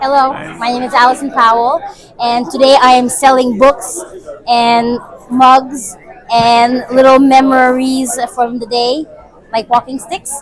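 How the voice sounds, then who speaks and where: Over noticeable background noise, a woman speaks in a high voice at a fairly slow pace. Her intonation is fairly even, broken by long, frequent pauses. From Quebec (Saint Agathe, anglophone community). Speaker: vendor at community event. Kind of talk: casual spoken introduction.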